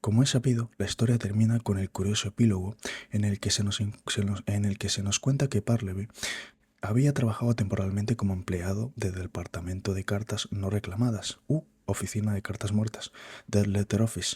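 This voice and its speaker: At a fairly quick pace, a man speaks in a fairly low, dark, mellow and somewhat breathy voice with fairly even intonation on a very clean recording with a silent background. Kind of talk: reading a book aloud, practicing speech.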